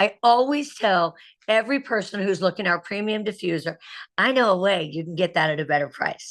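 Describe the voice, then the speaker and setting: A woman speaks at a moderate pace with lively intonation, the background quiet. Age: 60s. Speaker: direct sales director. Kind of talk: training presentation on video call. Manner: animated.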